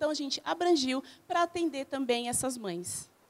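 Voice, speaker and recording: The speaker is a woman. Her pitch is high. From Brazil, São Paulo area (Guarulhos). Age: 40s. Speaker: small business owner, reality show contestant. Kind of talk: interview.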